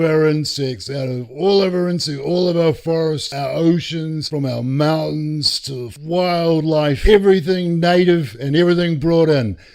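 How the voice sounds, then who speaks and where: Against noticeable background noise, a man talks at a fairly slow pace in a fairly high pitch with ordinary variation. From New Zealand. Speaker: true crime narrator. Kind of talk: casual narration. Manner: animated.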